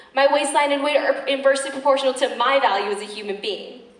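A woman speaks at a fairly quick pace with a high pitch. The room echo is audible. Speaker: slam poet performer. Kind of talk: slam poetry performance. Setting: live stage. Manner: fierce, intense. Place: stage.

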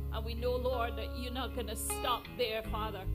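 A woman speaks at a moderate pace over clear background music. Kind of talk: public prayer. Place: church.

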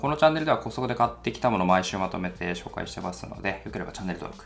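This man talks very fast in a very deep, low voice with very wide pitch swings. Light background noise can be heard. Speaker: shopping haul vlogger. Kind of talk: casual vlog chat. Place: home room.

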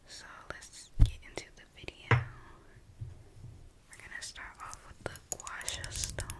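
A woman whispers, soft-spoken. Her pace is fairly slow. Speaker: ASMR creator. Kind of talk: soft whispered ASMR intro chat. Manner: soft close-mic ASMR whisper. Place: home room. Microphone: studio mic.

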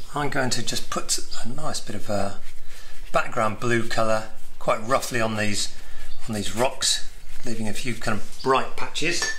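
Speaking at a fairly slow pace, a man leaves long, frequent pauses over light background noise. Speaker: watercolour painting instructor. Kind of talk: tutorial. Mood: relaxed, friendly. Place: home room. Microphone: phone near.

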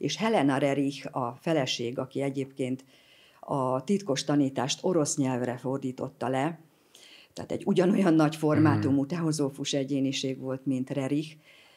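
A woman's very deep, low voice with a dark, mellow tone, ordinary pitch variation and a moderate pace, against a quiet background. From Hungary. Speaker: president of a spiritual society; guest. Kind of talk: interview. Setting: studio. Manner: halting, many fillers. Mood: warm, enthusiastic storytelling. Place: studio. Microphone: studio mic.

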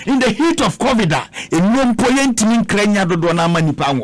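At a fairly quick pace, a man talks with high pitch and lively intonation.

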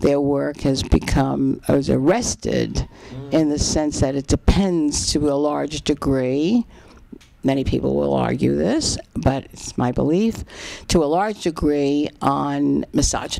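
A woman speaks fairly slowly, with light noise in the background. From Bronx, New York. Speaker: writer and critic. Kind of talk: interview answer. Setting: home apartment. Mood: thoughtful, reflective. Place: home room. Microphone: handheld.

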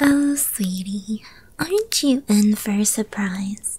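A woman uses a put-on character voice at a medium pitch and a fairly slow pace. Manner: whispered.

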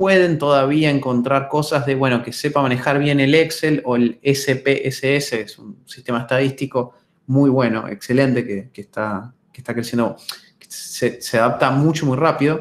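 A man at a moderate pace, with ordinary pitch variation and big swings in loudness. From Argentina, Buenos Aires. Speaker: data science lecturer. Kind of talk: webinar lecture. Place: home room. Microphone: webcam.

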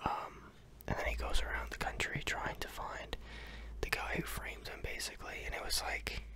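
Whispering man, dry sound with no echo, light background noise. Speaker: home vlogger. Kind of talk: casual vlog chat. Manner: close-mic ASMR whisper. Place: home room. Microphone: studio mic.

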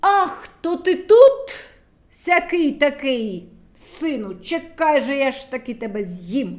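In a put-on character voice, a woman speaks slowly and high with big pitch swings.

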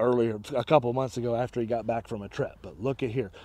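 A man with a dark, mellow tone speaks in a dry sound with no echo. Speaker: motorhome salesperson. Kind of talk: sales walkaround commentary. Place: open country. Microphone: phone near.

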